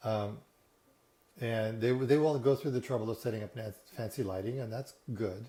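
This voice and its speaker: The voice is somewhat breathy with a dark, mellow tone, moving at a moderate pace with ordinary pitch variation. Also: man. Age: 60s. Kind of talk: casual talk to camera. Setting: living room. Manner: relaxed, hesitant.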